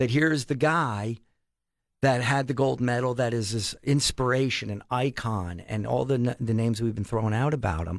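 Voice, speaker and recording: A man's normal speaking voice with an American accent, medium pitch and lively intonation at a moderate pace, on a very clean recording with a silent background. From Pennsylvania, Allentown area. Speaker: sports foundation director. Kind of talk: casual interview. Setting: studio.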